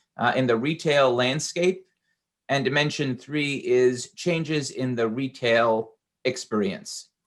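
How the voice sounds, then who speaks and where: Talking fairly slowly in a New York accent, a man has a fairly high pitch. His pitch variation is ordinary. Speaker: industry executive speaker. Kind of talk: conference presentation. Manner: halting with filler uhs.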